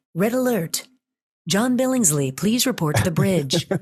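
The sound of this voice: A man's put-on character voice, high-pitched for a man, at a moderate pace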